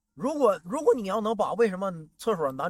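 Speaking with a Northeastern Chinese accent, a man moves through very wide pitch swings. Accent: Northeastern Mandarin. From Northeast China. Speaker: stand-up comedian. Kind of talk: casual chat. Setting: outdoors by the roadside.

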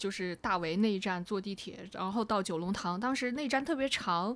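Here a woman uses a plain, everyday voice at a medium pitch. Her pace is moderate. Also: very clean recording, silent background. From China, Wuhan. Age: 30s. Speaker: podcast co-host, former TV editor. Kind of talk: casual chat.

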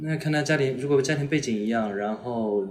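With lively intonation, a man speaks in a room with audible echo. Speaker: university student giving dating advice. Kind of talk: casual chat.

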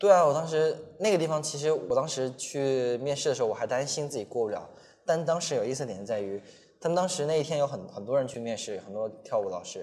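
Very fast and with lively intonation, a man speaks at a fairly high pitch. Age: 20s. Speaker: travel vlogger and street dancer. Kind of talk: casual interview chat.

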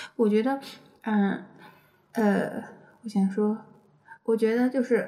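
In a slight Hunan accent, a woman speaks at a moderate pace, her fairly high voice dark, mellow and somewhat breathy, with fairly even intonation. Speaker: podcast co-host, parent. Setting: home, child asleep nearby.

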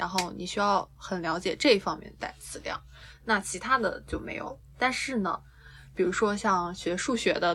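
A woman with a normal speaking voice at medium pitch, ordinary pitch variation, a moderate pace and big swings in loudness. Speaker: dance teacher. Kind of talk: casual chat.

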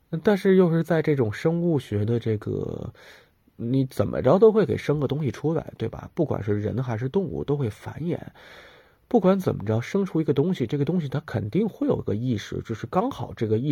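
Against a quiet background, a man with a dark, mellow, somewhat breathy voice speaks at a moderate pace and medium pitch, with very wide pitch swings. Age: 30s. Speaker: podcast host. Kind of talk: solo casual monologue.

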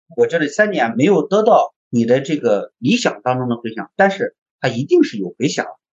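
The man's pitch is fairly high and swings very widely. He talks at a moderate pace. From China, Henan (Zhengzhou). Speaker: design agency founder and packaging designer. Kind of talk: interview conversation.

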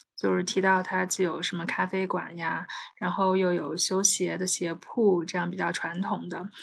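The speaker has an ordinary speaking voice and keeps a moderate pace. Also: woman. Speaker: podcast host. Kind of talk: casual chat.

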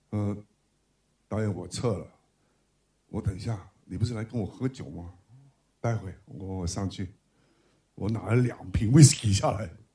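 A man speaks with a fairly low pitch and a dark, mellow tone that is somewhat breathy, at a moderate pace with ordinary pitch variation. His loudness swings widely, and he takes long, frequent pauses. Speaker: film director. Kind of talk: book talk with anecdotes. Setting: bookstore event with live audience.

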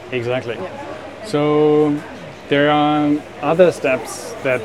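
The speaker has a German accent. Noticeable background noise and audible room echo come through. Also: man. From Germany. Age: 50s. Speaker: life coach and entrepreneur. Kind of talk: interview. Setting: cafe.

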